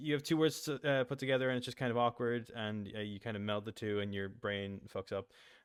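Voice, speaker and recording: Here is an ordinary speaking voice from a man at medium pitch. His intonation stays fairly even. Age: 20s. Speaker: animator and voice actor. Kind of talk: casual interview chat.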